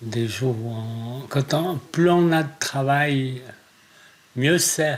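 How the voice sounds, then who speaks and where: Ordinary pitch variation marks this man's medium-pitched voice as he speaks at a very slow pace. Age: 60s. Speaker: farmer. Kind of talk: interview.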